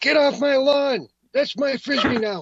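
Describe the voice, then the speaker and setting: A put-on character voice shouts in a high pitch. The pace is moderate. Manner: angry, shouting.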